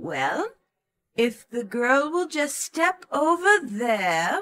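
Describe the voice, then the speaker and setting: A woman's cackling, put-on character voice, high-pitched, very slow, with very wide pitch swings. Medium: read story.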